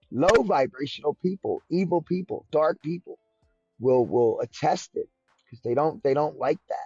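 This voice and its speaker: Loud and passionate, the voice moves at a moderate pace with music playing in the background. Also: man. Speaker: crypto podcast co-host. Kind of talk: podcast discussion. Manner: passionate, can get loud.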